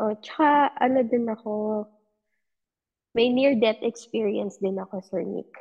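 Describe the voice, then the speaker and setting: A woman with a plain, everyday voice speaks fairly slowly at a fairly high pitch. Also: ordinary pitch variation. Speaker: podcast listener sharing paranormal experiences. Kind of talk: casual storytelling. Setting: online call.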